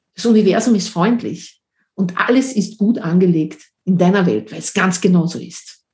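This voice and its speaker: A somewhat breathy woman's voice at medium pitch with ordinary variation. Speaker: podcast host and coach. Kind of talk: personal storytelling monologue.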